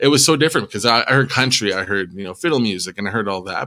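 A man with a western Canadian accent talks with ordinary pitch variation. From Edmonton, Alberta, Canada (Métis). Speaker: musician and public service worker, former firefighter. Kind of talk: casual interview. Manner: hesitant, many fillers.

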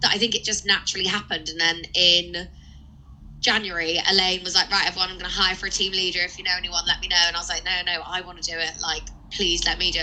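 Over noticeable background noise, a woman with a fairly low voice speaks very fast in a monotone, flat delivery. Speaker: recruiter. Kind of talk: casual interview chat.

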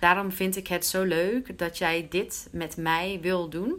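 In a very clean recording with a silent background, a woman with a medium-pitched voice speaks at a very slow pace. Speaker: Dutch teacher and podcast host. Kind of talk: language-learning interview. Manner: mixes Dutch and English.

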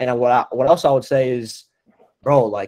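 A man with a normal speaking voice and medium pitch talks at a moderate pace. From New Jersey (North Jersey). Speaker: marketing agency owner. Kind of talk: casual chat.

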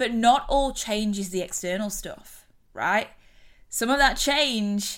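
A woman speaks with an English accent. Her tone is animated. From UK. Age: 30s. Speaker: podcast host and mindset coach. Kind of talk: casual solo monologue. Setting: recording on her bed at home.

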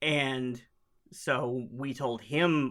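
A man's medium-pitched voice with an Oklahoma accent. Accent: Oklahoman Southern US. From Oklahoma, US. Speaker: Ghostbusters fan group founder. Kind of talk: casual interview. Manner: halting, repeats words.

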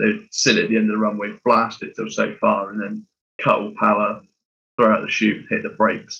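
The speech moves fairly quickly. It carries a British accent. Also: man. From UK. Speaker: podcast co-host, aviation enthusiast. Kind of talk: casual chat.

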